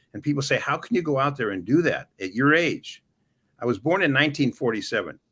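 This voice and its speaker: A bright, sharp voice with an American accent and vocal fry races along at a very fast pace with lively intonation. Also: man, fairly high pitch for a man. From US West Coast, Los Angeles. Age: 70s. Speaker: retired police sergeant and former city councilman. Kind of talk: interview. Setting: live stream.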